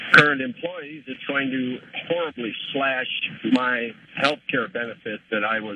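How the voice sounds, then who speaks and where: This man talks fairly slowly, with a medium pitch. Noticeable background noise sits behind him. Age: 60s. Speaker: caller, retired corrections worker. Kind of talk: call-in question. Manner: halting, repeats words.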